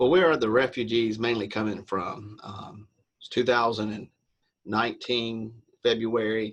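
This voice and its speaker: Using a Southern US accent, a man speaks at medium pitch and a moderate pace with fairly even intonation and big swings in loudness. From US South. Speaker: interviewer. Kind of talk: interview.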